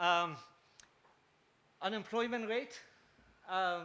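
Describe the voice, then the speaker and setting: Raising and projecting his voice, a man speaks with a bright, sharp tone over audible room echo. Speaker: economist presenting research. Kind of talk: conference presentation. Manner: halting, many fillers.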